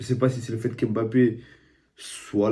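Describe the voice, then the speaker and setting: A man speaks at a fairly slow pace in a dark, mellow tone. His pitch is medium and his intonation is monotone and flat. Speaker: football YouTuber, streamer. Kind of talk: casual football match debrief. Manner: casual, conversational.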